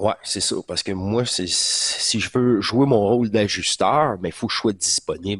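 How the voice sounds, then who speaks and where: In a Quebec accent, a man talks at a fairly slow pace with hardly any pauses. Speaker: spiritual channel host. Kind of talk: casual monologue recap. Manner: hesitant, many fillers; animated.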